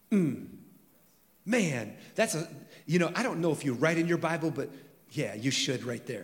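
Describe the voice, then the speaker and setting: A man with an American accent, vocal fry and lively intonation, with long, frequent pauses and audible room echo. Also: fairly high pitch for a man, moderate pace. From California. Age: 50s. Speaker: pastor. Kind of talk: sermon.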